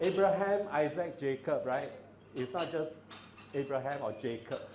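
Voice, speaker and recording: A man speaks loudly at a moderate pace. There is audible room echo and noticeable background noise. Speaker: father of the bride. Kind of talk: wedding speech. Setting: banquet hall with audience, PA system.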